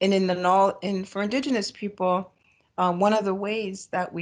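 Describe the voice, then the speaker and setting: In a quiet background, a woman with a Great Lakes accent speaks in a flat, monotone intonation. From Ontario, Canada (Bruce Peninsula). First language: Ojibwe. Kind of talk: ceremonial opening acknowledgement. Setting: video call.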